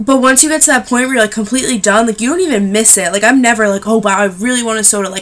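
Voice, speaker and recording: A woman speaks at a very fast pace with hardly any pauses, her pitch fairly high and her tone animated. Pitch variation is ordinary, and there is noticeable background noise. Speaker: vlogger. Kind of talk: casual chat.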